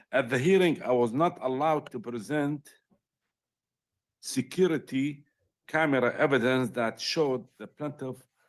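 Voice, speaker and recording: With a non-native accent, a man speaks with long, frequent pauses and ordinary pitch variation over a quiet background. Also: fairly high pitch for a man, moderate pace. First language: not English. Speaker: appellant representing himself in court. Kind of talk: court argument, reading prepared statement. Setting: courtroom. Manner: halting.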